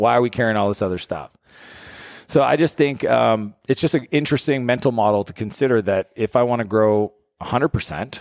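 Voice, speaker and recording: A man with a French Canadian accent talks at a fairly quick pace in a dry, close recording with no echo and a very clean, silent background. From Canada (French-speaking). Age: 40s. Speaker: entrepreneur and author. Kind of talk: casual interview chat. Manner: animated.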